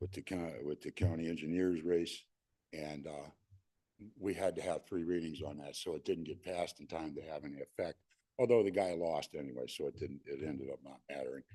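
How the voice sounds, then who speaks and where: A man with a very deep, low pitch and a dark, mellow tone talks at a fairly quick pace with vocal fry and ordinary pitch variation. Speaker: public commenter at city council. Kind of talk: public comment at council meeting.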